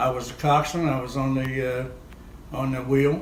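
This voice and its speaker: Noticeable background noise sits behind a man's voice. He speaks fairly slowly at a medium pitch. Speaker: war veteran. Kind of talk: interview answer. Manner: hesitant.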